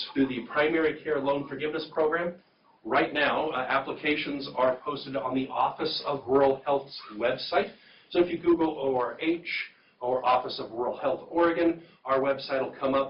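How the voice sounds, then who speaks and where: Over noticeable background noise, a man speaks in a fairly high voice with fairly even intonation. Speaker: rural health program staff presenter. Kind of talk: informational presentation. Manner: fast. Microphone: too far from the mic, remote site can't hear.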